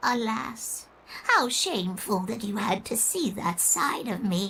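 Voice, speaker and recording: Speaking at a fairly slow pace, a female-sounding put-on character voice sits at a medium pitch for a woman. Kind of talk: old-fashioned formal speech. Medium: video game. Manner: genteel, gracious, slightly theatrical.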